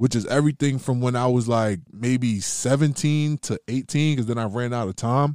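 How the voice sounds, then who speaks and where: Recorded very cleanly with a silent background and a dry, close sound with no echo, a man with a plain, everyday voice talks at medium pitch and a moderate pace, with ordinary pitch variation and hardly any pauses. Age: 20s. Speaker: rapper. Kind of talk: casual chat. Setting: podcast interview.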